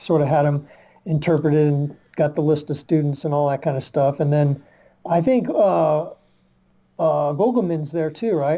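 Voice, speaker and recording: With an American accent, a man speaks at a moderate pace in a dark, mellow, somewhat breathy tone, using a fairly high pitch with ordinary variation. Long, frequent pauses break up his speech in a very clean recording with a silent background. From Virginia, US South. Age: 60s. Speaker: martial arts researcher and publisher. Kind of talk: podcast interview. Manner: halting, many fillers.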